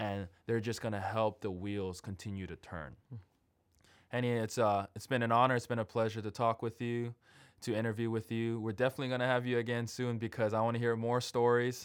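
An unremarkable speaking voice from a man, medium in pitch, fairly even in intonation and fairly quick in pace, in a very clean recording with a silent background. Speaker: podcast host. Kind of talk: casual interview chat.

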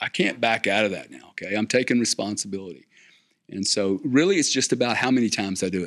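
Someone with a South Louisiana accent talks at a very fast pace with ordinary pitch variation. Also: man. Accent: South Louisiana Southern US. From US South, South Louisiana. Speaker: business executive and investor. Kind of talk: interview conversation. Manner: repetitive stammering starts.

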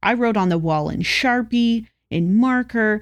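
The recording is very clean, with a silent background. A woman with a West Coast US accent and fairly high pitch talks at a moderate pace with ordinary pitch variation. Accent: General American, West Coast. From Southern California. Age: 20s. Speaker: podcast co-host. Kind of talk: casual chat.

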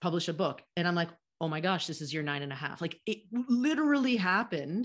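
A woman with an ordinary speaking voice, medium pitch, lively intonation and a moderate pace, in an American accent. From United States. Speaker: podcast host and author. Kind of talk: interview conversation.

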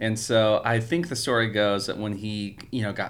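With an American accent, a man talks in a normal speaking voice, fairly low-pitched and fairly even in intonation, at a moderate pace. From California. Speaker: church music director. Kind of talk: casual interview.

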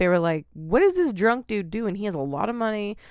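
In a very clean recording with a silent background, a woman with an American accent and an unremarkable speaking voice talks at a moderate pace and medium pitch with lively intonation. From Oregon, US. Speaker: podcast co-host. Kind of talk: storytelling.

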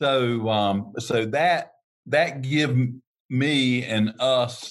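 A man with a North Carolina accent speaks at a medium pitch with ordinary pitch variation. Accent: US Southern (North Carolina). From North Carolina, Harnett County. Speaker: turf equipment dealer. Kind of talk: interview.

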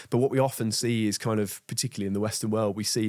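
The recording is very clean, with a silent background. A man with an English accent and medium pitch talks at a very fast pace. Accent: non-Yorkshire regional English. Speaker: nutritionist. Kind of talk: interview conversation.

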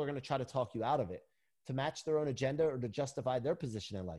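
Over a silent background in a very clean recording, a man talks very fast in an energetic, somewhat breathy voice with ordinary pitch variation. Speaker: performance coach and motivational speaker. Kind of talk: interview.

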